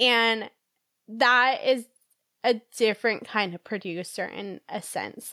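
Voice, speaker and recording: A woman with an ordinary speaking voice, fairly high and with ordinary pitch variation, is heard in a very clean recording with a silent background. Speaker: violent crime survivor. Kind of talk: personal testimony in interview.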